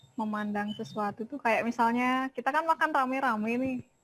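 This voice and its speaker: A woman speaks with a Balinese accent. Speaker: workshop participant. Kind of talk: online workshop discussion.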